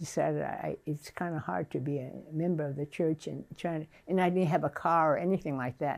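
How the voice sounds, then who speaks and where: A woman's very deep, low voice with an American accent and vocal fry, fairly quick with ordinary pitch variation, on a very clean recording with a silent background. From California, US (Fresno). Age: 80s+. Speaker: church member. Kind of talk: oral history interview. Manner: halting, many repetitions and fillers.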